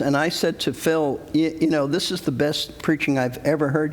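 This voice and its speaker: Noticeable background noise sits under this recording. A man with a fairly high pitch talks at a moderate pace. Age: 70s. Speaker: pastor. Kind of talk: interview conversation.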